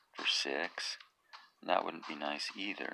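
A man talking at a fairly slow pace. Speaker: gaming video commentator. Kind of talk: gameplay commentary.

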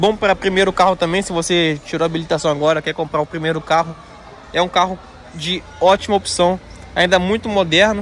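Talking very fast in a high voice with fairly even intonation, a man is heard over light background noise in a dry sound with no echo. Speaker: presenter. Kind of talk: casual product walkaround. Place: street. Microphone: phone near.

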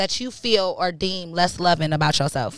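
A woman speaks at a moderate pace. The sound is dry, with no echo. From Michigan, Ann Arbor; Michigan. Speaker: podcast host. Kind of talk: casual chat. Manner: animated. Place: studio. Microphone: studio mic.

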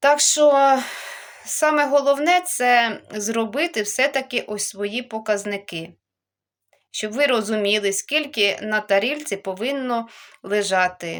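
In a very clean recording with a silent background, a woman speaks very slowly at a fairly high pitch, with lively intonation. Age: 40s. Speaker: video blogger on healthy eating. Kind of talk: vlog monologue.

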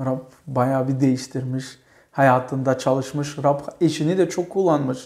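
A man's fairly slow speech with fairly even intonation, over a quiet background. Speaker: church program host. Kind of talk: interview with religious tone. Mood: warm, thankful. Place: home room. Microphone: lapel.

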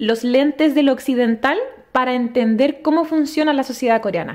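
Against a quiet background, a woman speaks at a moderate pace and a high pitch with ordinary pitch variation. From Chile, Santiago; Chile. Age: 20s. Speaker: exchange student; podcast guest. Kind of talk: casual interview. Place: home room. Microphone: studio mic.

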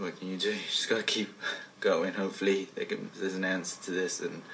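A man talks at a very fast pace in a nervous tone, with light background noise behind him. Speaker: actor. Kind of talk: acted found-footage talk to camera. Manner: nervous, hesitant. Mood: uneasy, hushed. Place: home room.

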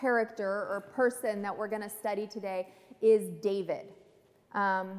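Intonation stays fairly even. The delivery is a natural reading voice.

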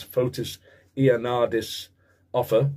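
A dark, mellow tone from a man, somewhat breathy. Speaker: football vlogger. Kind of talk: casual vlog monologue. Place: home room. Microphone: webcam.

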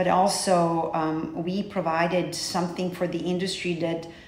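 A woman with a Serbian accent speaks at a fairly low pitch in a monotone, flat intonation. Noticeable background noise runs behind her. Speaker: hair transplant coordinator. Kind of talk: interview.

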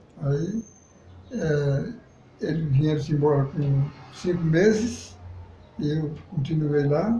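A somewhat breathy man speaks at a fairly high pitch with a dark, mellow tone. Audible room echo and light background noise are present. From Northeast Brazil, Pernambuco countryside. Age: 80s+. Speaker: elderly local resident; interviewee. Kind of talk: interview. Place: home room.

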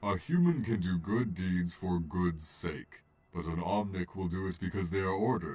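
Doing a put-on character voice, a man speaks at a moderate pace with a very deep, low pitch. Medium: fan dub. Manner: calm, gentle, philosophical.

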